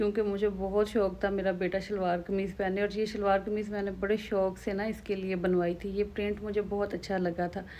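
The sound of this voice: A woman speaks at a medium pitch with a slightly mellow tone. Her pitch moves very little.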